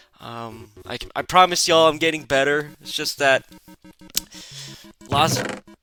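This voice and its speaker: The speaker has a relaxed tone and a fairly slow pace. Music plays in the background. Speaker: gaming youtuber. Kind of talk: gameplay commentary. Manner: relaxed, filler-heavy.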